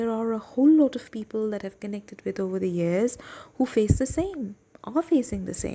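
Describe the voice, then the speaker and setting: In a Bengali accent, a woman speaks at a fairly high pitch and a moderate pace, her tone dark and mellow and her pitch swinging very widely. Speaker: book reading podcast host. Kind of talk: personal reflection before reading aloud. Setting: at home desk, night. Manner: hesitant, with fillers.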